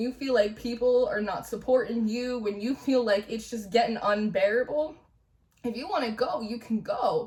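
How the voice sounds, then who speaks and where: A loud woman with a New Jersey accent, high in pitch, with ordinary pitch variation and a moderate pace. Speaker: tarot reader. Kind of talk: spiritual reading monologue. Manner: animated.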